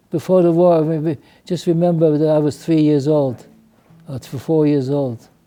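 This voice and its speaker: Music plays in the background as a man with fairly high pitch talks at a moderate pace. His intonation is fairly even, and he leaves long, frequent pauses. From Poland. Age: 80s+. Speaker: Holocaust survivor. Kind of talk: interview.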